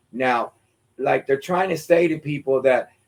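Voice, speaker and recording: Speaking at a moderate pace, a man has a fairly high pitch, fairly even intonation and an unremarkable speaking voice. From Pennsylvania, Lancaster County (Puerto Rican family). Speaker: former teacher and community activist. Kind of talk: interview on local politics.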